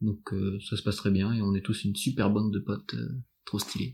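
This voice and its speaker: A man with a fairly low pitch speaks in a somewhat breathy voice with monotone, flat intonation. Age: 20s. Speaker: student volunteer listener. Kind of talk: casual interview. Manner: halting.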